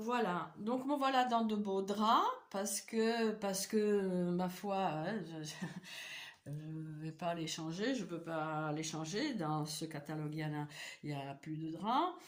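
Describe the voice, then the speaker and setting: A woman's fairly low voice at a very slow pace, lively intonation, noticeable background noise and audible room echo. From Eastern Europe. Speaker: vlogger. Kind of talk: personal vlog monologue. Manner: halting, many hesitations and repetitions.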